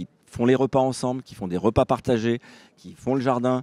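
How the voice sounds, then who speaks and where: A man with a dark, mellow tone speaks at medium pitch and a moderate pace, with a dry, close sound and no echo. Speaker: housing organisation representative. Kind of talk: panel discussion. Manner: talkative, with fillers and restarts.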